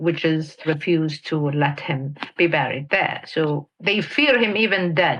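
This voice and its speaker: In a Mauritanian accent, a woman with a very deep, low pitch speaks at a fairly slow pace with hardly any pauses, very even loudness and ordinary pitch variation. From Western Sahara. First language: Hassaniya Arabic. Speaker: activist. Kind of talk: interview testimony. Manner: halting.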